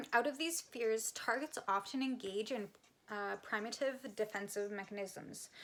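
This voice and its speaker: In a Canadian accent, a woman with a plain, everyday voice speaks at a fairly slow pace and a fairly high pitch. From Canada. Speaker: psychic medium and energy healer. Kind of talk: casual talk to camera. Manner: casual, conversational, with fillers and swearing.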